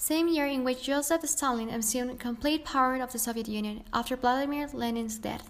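This woman talks at a fairly quick pace in a high pitch. Her intonation stays fairly even. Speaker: history podcast narrator. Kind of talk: scripted narration. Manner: formal, explanatory.

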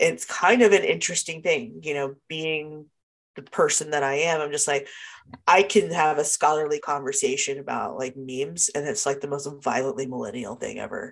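This woman's very deep, low pitch carries vocal fry and lively intonation. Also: moderate pace. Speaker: podcast co-host. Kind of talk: casual chat. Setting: video call.

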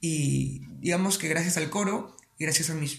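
A man speaks with a fairly high pitch. Noticeable background noise runs under the clip. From Peru, Piura. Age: 20s. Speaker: singer. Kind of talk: interview.

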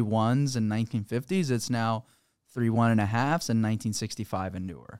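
In a very clean recording with a silent background, a man at medium pitch talks at a fairly quick pace with ordinary pitch variation. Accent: Florida. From Florida (Sarasota area), born in Peru. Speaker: real estate investor, company president. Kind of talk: casual interview. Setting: studio.

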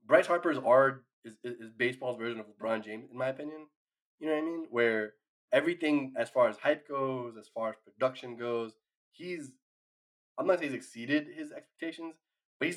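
Speaking in a normal speaking voice at medium pitch, a man goes at a fairly quick pace with big swings in loudness. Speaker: baseball podcast host. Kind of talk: angry rant, profanity-laced baseball hot take. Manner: exasperated, riled-up, stumbling and repeating words.

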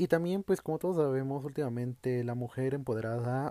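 With a Mexican accent, a man speaks at a fairly quick pace in a dark, mellow tone, medium pitch and ordinary pitch variation, the sound dry and close with no echo. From Mexico. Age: 20s. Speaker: podcast host. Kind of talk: solo monologue podcast. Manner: casual, conversational.

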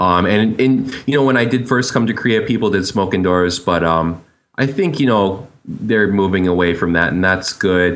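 Speaking at a moderate pace with hardly any pauses, a man has an unremarkable speaking voice, a fairly low pitch, ordinary pitch variation and very even loudness.

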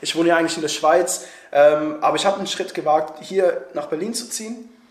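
Over noticeable background noise and audible room echo, a man talks at a moderate pace in a high voice with ordinary pitch variation. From Switzerland. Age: 20s. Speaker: YouTuber and actor. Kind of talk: casual interview. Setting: recording together in Berlin.

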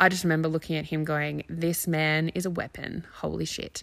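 Over a silent background in a very clean recording, a woman speaks with an Australian accent. Her pitch is fairly low and her pace moderate. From Australia, near Canberra. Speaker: parenting coach and podcast host. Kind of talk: personal monologue.

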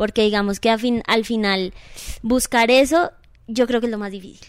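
With fairly even intonation, a normal speaking voice keeps a moderate pace. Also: woman. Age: 30s. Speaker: dance studio owner. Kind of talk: casual interview.

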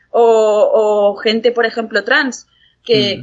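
Here is a woman with an unremarkable speaking voice, pitched fairly high. She talks at a fairly slow pace. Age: 20s. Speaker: psychology student and mental health patient. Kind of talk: interview testimony.

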